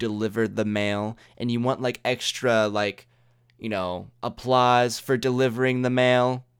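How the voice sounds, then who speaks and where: It's a plain, everyday voice from a man at medium pitch. He goes at a fairly slow pace on a very clean recording with a silent background. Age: 20s. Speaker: solo podcaster. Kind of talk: casual monologue.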